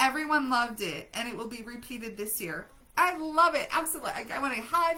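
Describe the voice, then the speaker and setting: Against noticeable background noise, a woman talks fairly quickly in a raised, projected voice, high in pitch, with lively intonation and big swings in loudness. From Germany. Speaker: grief coach and widow support group host. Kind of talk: live stream chat reading viewer comments. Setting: live stream.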